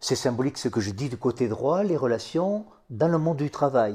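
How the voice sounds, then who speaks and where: A man speaks at a medium pitch and moderate pace, his tone dark and mellow. His intonation is lively on a very clean recording with a silent background. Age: 70s. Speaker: psychosociologist and author. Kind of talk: interview.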